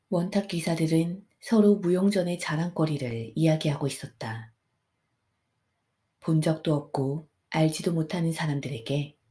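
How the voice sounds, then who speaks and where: A woman speaks calmly at a fairly slow pace, her very deep, low voice dark, mellow and somewhat breathy, with ordinary pitch variation. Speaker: audiobook narrator. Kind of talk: sleep story. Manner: soft-spoken, calm.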